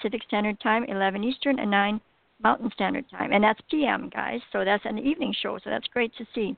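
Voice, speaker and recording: A plain, everyday voice at a moderate pace with ordinary pitch variation. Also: woman, fairly high pitch for a woman. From Alberta, Canada. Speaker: radio host. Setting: phone call.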